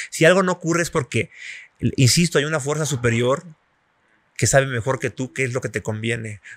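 Against a quiet background with a dry sound and no echo, a somewhat breathy man talks at a fairly quick pace, with ordinary pitch variation and long, frequent pauses. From Mexico. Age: 40s. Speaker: journalist and former magazine editor; journalist. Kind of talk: interview conversation. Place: cafe. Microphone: studio mic.

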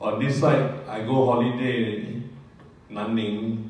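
A man's monotone, flat delivery at a very slow pace, in strong room echo. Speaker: retiree giving product testimonial. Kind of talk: testimony. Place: hall.

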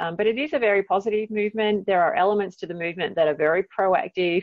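This woman has a medium pitch. She speaks in an Australian accent. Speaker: psychology professor. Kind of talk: interview.

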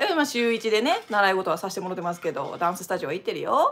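In a Kansai accent, a woman talks in an animated tone with very wide pitch swings. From Japan. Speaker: dancer and channel host; channel host. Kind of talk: live stream casual talk. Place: home room. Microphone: webcam.

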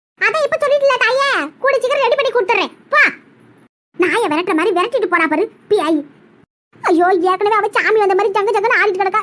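A woman puts on a cartoonish character voice at an extremely high pitch, with lively intonation and very even loudness. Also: moderate pace. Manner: grumbling, spiteful.

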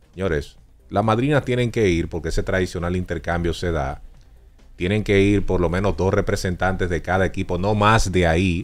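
Faint music plays in the background. Over it, a man speaks with a very deep, low pitch. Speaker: sports radio co-host. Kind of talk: sports talk commentary. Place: studio. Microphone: studio mic.

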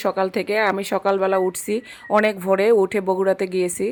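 A woman's voice over noticeable background noise. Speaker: lifestyle vlogger. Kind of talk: vlog voiceover narration.

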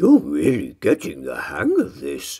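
A man's put-on character voice, low in pitch and dark and mellow in tone, with a slightly husky edge, vocal fry and very wide pitch swings. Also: fairly slow pace.

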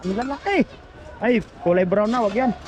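A man with a high pitch speaks at a moderate pace with ordinary pitch variation. Noticeable background noise runs behind him. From Philippines, Quezon province. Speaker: vlogger, overseas worker. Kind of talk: casual vlog narration. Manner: animated.

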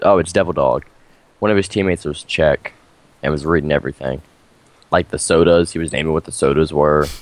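A man with a very deep, low pitch and vocal fry talks at a very fast pace with fairly even intonation and long, frequent pauses. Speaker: gamer. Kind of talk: casual chat. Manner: loud.

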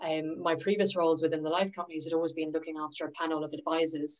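A woman speaks at a very fast pace with a very deep, low pitch. Her intonation stays monotone and flat over a quiet background. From London, England. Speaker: financial advisor; presenter. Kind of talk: presentation to a workshop group. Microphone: video call.

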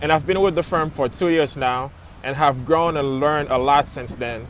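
The sound is dry with no echo, carrying an American accent, fairly even intonation, and light background noise. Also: man. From Florida, Haitian family. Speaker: architect. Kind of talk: personal testimony. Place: open country. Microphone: earbuds.

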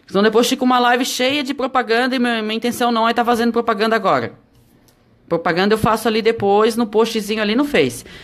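Talking at a very fast pace, a woman keeps a fairly high pitch and fairly even intonation. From Santa Catarina, Brazil (Palhoça, Greater Florianópolis); Santa Catarina, Brazil. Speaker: EVA craft teacher. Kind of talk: live-stream craft tutorial. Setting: live stream from home. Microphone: phone near.

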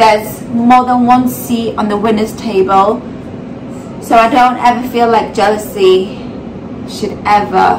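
Noticeable background noise sits behind a woman's fairly high voice. She talks at a moderate pace with ordinary pitch variation. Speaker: vlogger, mother. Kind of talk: casual talk to camera. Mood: earnest, reflective. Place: kitchen. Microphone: phone near.

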